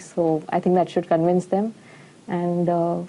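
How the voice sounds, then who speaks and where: The speaker is a woman at a moderate tempo. Her voice is fairly low. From India. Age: 20s. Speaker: nutritionist. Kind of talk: patient testimonial.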